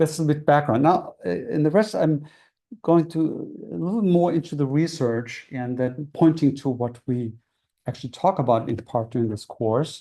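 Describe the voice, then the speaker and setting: The man's voice sits fairly high in pitch. Its tone is dark and mellow. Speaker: university lecturer. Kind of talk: lecture. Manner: fast; hesitant, many fillers.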